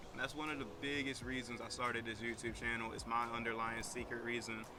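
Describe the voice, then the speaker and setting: Very fast and monotone, a man speaks with a strong Virginian accent at medium pitch. Noticeable background noise and audible room echo fill the recording. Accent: strong rural Virginian. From Virginia (Madison County, rural). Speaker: small business owner. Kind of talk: casual vlog introduction.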